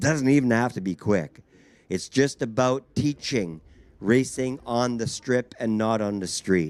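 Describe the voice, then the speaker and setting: Speaking at a fairly slow pace in a Canadian accent, this is an ordinary speaking voice with ordinary pitch variation. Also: man. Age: 60s. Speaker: drag strip announcer. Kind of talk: PA announcement.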